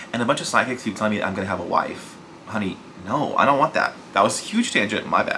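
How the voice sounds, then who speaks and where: A man's voice with noticeable background noise. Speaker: book youtuber. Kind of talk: casual vlog talk.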